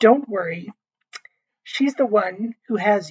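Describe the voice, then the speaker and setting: Using a raspy, put-on character voice, a woman talks fairly slowly at a medium pitch. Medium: read story. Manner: calm, reassuring.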